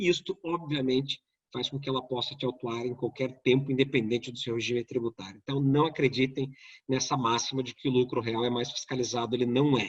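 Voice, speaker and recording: A man's medium-pitched, somewhat breathy voice with fairly even intonation. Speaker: tax lawyer and lecturer. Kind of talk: online lecture. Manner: fast.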